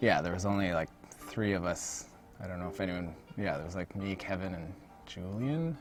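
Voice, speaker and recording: Soft-spoken man with a very deep, low pitch, ordinary pitch variation and a moderate pace, music in the background. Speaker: game animator. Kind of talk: livestream chat.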